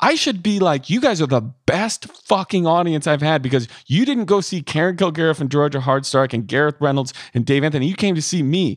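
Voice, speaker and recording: A man with an American accent talks in a plain, everyday voice, fairly high in pitch, with lively intonation and a fairly quick pace. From US Midwest. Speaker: podcast host and comedian. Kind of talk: monologue; casual interview.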